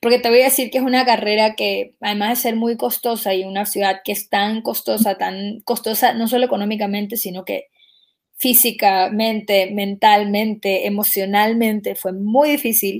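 With an ordinary speaking voice, a woman talks at a moderate pace, fairly high in pitch, with fairly even intonation. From Ecuador. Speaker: singer. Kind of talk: interview.

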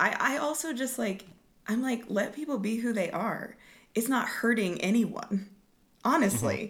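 Somewhat breathy and fairly high-pitched, a woman with an American accent speaks with very wide pitch swings, with audible room echo around her. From Oklahoma, Lawton. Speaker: Broadway performer. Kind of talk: casual interview.

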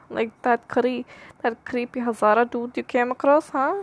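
This woman's high voice keeps a moderate tempo and fairly flat intonation. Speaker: solo podcaster. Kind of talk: solo monologue, rambling. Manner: rambling, repetitive.

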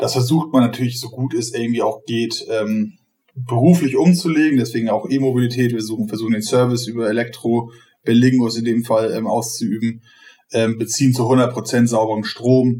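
This man has a medium pitch. He moves at a fairly quick pace, with fairly even intonation. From northern Germany, Schleswig-Holstein. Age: 30s. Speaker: startup operations manager. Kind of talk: casual interview. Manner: fast.

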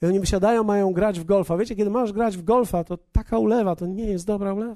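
Against a quiet background, a man speaks very fast at a high pitch with a dark, mellow tone and ordinary pitch variation. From Poland. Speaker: pastor. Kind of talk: sermon.

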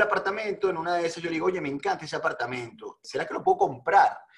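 Noticeable background noise fills the recording. A man talks over it with ordinary pitch variation. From Venezuela. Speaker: real estate entrepreneur. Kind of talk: interview.

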